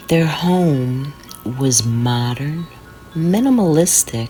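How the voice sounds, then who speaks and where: Music plays in the background. A woman whispers at a very slow pace. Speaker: horror narrator. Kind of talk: horror sleep story. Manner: whispered.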